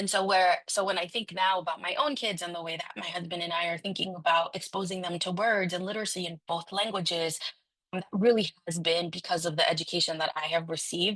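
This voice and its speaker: The speaker has a Spanish accent and a fairly quick pace. Intonation stays fairly even. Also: woman. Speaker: city council member. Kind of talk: conference speech. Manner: halting, many fillers.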